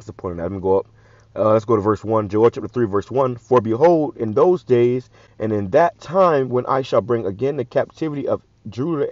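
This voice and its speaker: A man's medium-pitched voice at a very fast pace, with lively intonation. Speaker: religious commentator. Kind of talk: scripture commentary.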